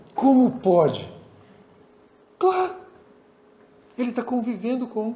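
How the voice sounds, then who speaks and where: A man speaks at a fairly slow pace with a high pitch. His pitch swings very widely, and the room echo is audible. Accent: Brazilian. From Brazil. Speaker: pastor. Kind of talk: sermon.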